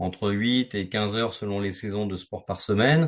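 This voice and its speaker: This man talks at a fairly low pitch. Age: 60s. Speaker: sales manager sharing a fitness testimonial. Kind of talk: interview testimony. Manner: hesitant, many fillers.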